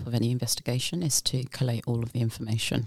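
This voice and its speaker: A woman speaks at a very deep, low pitch and sounds somewhat breathy. The sound is dry and close, with no echo. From UK. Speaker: forensic investigator. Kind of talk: casual interview.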